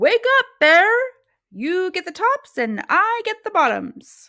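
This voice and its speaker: A woman's put-on character voice, extremely high-pitched with very wide pitch swings, at a fairly slow pace, in a very clean recording over a silent background. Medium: read story. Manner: cheerful, persuasive.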